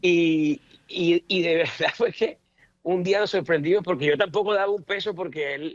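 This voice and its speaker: A man is talking. The recording is dry and close, with no echo. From Colombian Caribbean coast. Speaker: politician, senator. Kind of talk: radio interview, personal remembrance.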